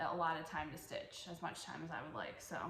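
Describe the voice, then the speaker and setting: The speaker talks at a fairly quick pace, with noticeable background noise behind the voice. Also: woman. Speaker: cross-stitch vlogger. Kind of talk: casual show-and-tell vlog. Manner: halting, self-correcting.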